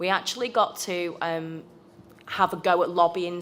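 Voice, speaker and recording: With a British accent, a woman speaks in a fairly low pitch. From United Kingdom. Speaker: trade union youth member. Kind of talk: conference presentation.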